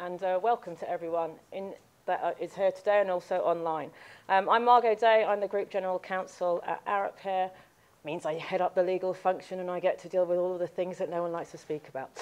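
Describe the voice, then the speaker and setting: Someone with a British accent talks at a very fast pace over a quiet background. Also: woman. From UK. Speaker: event chair, corporate lawyer. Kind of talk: event introduction. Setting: live event with in-person and online audience.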